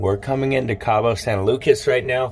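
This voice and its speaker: A man's medium-pitched voice at a fairly slow pace over noticeable background noise. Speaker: travel vlogger. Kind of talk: vlog. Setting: on a cruise ship deck. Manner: casual, rambling.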